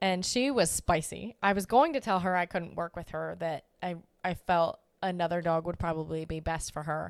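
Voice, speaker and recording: An ordinary speaking voice at a moderate pace with ordinary pitch variation, captured in a very clean recording against a silent background. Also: woman, fairly low pitch for a woman. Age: 20s. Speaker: dog trainer, podcast co-host. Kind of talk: casual chat.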